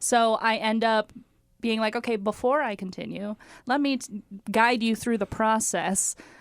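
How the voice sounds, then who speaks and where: At a moderate pace, a woman with a fairly high pitch speaks in a very clean recording with a silent background. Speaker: podcast co-host. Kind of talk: casual chat. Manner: volume rises when excited.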